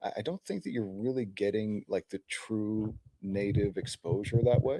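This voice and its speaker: A quiet man's voice, fairly low in pitch, with a dark, mellow tone, ordinary pitch variation, a moderate pace and a dry, close sound with no echo. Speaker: crypto show co-host. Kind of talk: casual chat.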